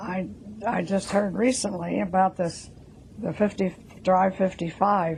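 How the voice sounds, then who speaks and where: A woman talks at a fairly slow pace with fairly even intonation over noticeable background noise. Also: medium pitch for a woman. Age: 80s+. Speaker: interviewee, elderly driver. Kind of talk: testimony.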